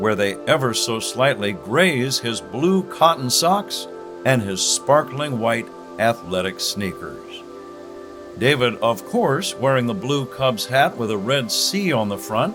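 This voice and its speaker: Music plays in the background. The speaker talks at a very slow pace with very wide pitch swings. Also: man, medium pitch for a man. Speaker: sports radio announcer. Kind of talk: humorous guided meditation in play-by-play style. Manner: calm, slow.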